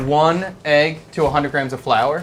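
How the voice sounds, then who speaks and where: A man with a Philadelphia accent talks at a fairly slow pace and a fairly high pitch. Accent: East Coast (Philadelphia). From US East Coast, Philadelphia. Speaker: chef and live-stream cooking host. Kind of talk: live cooking stream, casual chat. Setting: studio kitchen.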